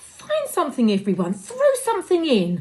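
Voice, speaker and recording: A put-on character voice moves along at a moderate pace. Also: woman. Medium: read story.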